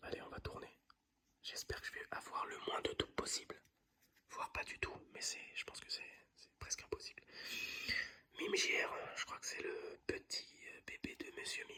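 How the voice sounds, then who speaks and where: A man whispers at a moderate pace, with long, frequent pauses and big swings in loudness. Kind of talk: casual talk to camera, ASMR-style trading card opening. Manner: whispered, soft-spoken.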